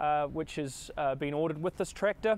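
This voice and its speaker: At a fairly quick pace, a man speaks with fairly even intonation in a dry sound with no echo. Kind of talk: product walkaround presentation. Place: street.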